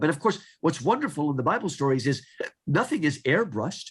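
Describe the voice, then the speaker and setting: Somewhat breathy, this man has a fairly high voice. His pitch swings very widely. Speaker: author and literature scholar. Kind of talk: interview conversation. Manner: halting, with false starts.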